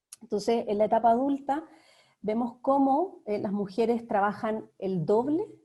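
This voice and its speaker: A woman with a fairly high pitch and a dark, mellow tone speaks at a fairly slow pace, her pitch moving in an ordinary way. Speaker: research director, speaker. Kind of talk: talk with slides.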